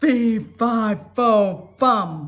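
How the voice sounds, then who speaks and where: Bellowing at a fairly high pitch, the speaker uses a put-on character voice. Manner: roaring, menacing.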